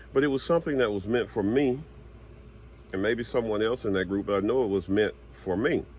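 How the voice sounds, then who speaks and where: This man has an unremarkable speaking voice with a fairly low pitch. He talks at a fairly quick pace with ordinary pitch variation. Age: 60s. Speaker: spiritual vlogger and tarot reader. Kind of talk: motivational monologue. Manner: casual, conversational.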